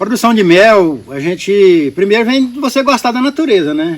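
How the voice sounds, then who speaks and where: A man speaks at a fairly slow pace and a high pitch. His pitch swings very widely. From Goiás, Brazil. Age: 60s. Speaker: beekeeper and local entrepreneur. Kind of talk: podcast interview.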